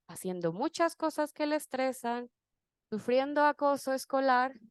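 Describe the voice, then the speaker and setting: In a dry, close sound with no echo, a woman with a high pitch speaks in an animated tone with lively intonation. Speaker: conference speaker. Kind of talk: conference talk.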